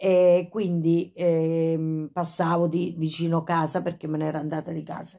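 Against a quiet background, a woman with a fairly low pitch and a dark, mellow tone speaks fairly slowly in a monotone, flat way. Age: 50s. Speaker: YouTuber with Tourette syndrome; vlogger recounting past. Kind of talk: casual vlog monologue. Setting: at home, in bed. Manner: frequent vocal tics and sudden exclamations; halting, with many fillers. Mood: reflective, a bit agitated. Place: home room. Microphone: phone near.

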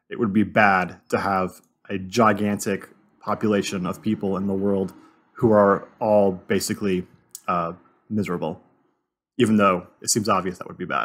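With an unremarkable speaking voice, a man talks at a fairly slow pace and fairly low pitch in a very clean recording with a silent background. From Southern California. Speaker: podcast co-host. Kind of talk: casual chat.

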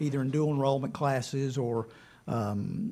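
A man talks with ordinary pitch variation. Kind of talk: public meeting presentation. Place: meeting room. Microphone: podium.

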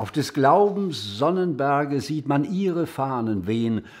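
A man speaks very slowly with lively intonation against a quiet background. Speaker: actor reading poetry. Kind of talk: poetry reading.

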